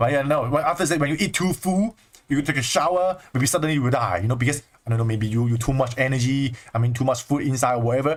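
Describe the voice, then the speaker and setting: At a very fast pace, a man talks in a fairly high pitch with ordinary pitch variation and very even loudness. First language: Chinese. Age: 20s. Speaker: spiritual teacher. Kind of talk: livestream talk. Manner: animated.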